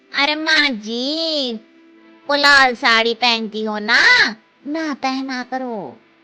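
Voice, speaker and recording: In a cartoonish character voice, a high-pitched woman speaks very slowly over faint background music. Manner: chatty, cheeky.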